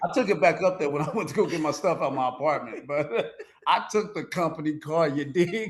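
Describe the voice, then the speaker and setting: A man's fairly high, animated voice at a fairly quick pace, with ordinary pitch variation and noticeable background noise. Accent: American. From Kansas City, Missouri. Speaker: former fraud convict telling his story. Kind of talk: casual interview storytelling.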